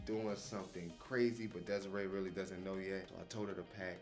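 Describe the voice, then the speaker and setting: Faint music plays behind a man whose fairly low voice moves at a fairly quick pace with fairly even intonation. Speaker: family vlogger. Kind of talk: casual vlog chat. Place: home room. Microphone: phone near.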